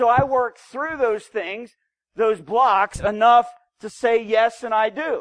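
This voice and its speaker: Someone talks at a very slow pace with an American accent. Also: man, extremely high pitch for a man, ordinary pitch variation. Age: 40s. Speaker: preacher. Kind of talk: sermon.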